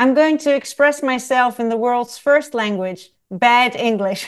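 A woman with a Dutch accent, high pitch, ordinary pitch variation and moderate pace, over a quiet background. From Netherlands. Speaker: travel writer and photographer. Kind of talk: interview.

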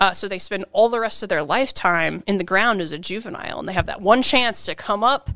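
Very fast and with hardly any pauses, this bright, sharp voice in an American accent shows ordinary pitch variation in a very clean recording with a silent background. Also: woman, medium pitch for a woman. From Kansas, US Midwest. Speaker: entomologist. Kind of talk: casual interview chat.

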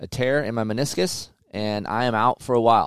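The man's medium-pitched voice comes through a very clean recording with a silent background. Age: 40s. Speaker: motocross podcast host and former magazine test rider. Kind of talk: casual chat. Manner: animated.

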